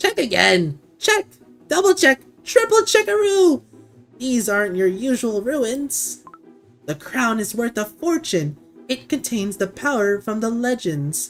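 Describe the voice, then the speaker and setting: Faint music plays in the background as a man in a put-on character voice speaks at a fairly slow pace, his extremely high pitch making very wide swings. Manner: bossy, commanding.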